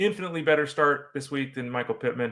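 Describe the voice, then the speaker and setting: Bright and sharp in tone, a man talks at a very fast pace with lively intonation and a fairly high pitch. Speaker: fantasy football podcast host. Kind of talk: sports talk show monologue. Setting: studio with green screen.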